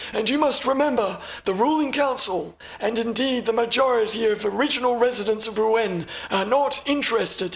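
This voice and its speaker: Putting on a character voice, a man talks at an extremely high pitch. His pace is moderate. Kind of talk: audiobook character reading. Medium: read story. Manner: formal, measured, courteous.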